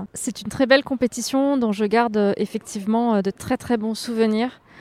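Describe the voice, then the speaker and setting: A woman's fairly high-pitched voice, dark and mellow in tone, monotone and flat in intonation, at a moderate pace, with a dry, close sound and no echo. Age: 30s. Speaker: extreme endurance athlete. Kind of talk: interview. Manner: halting, frequent hesitations.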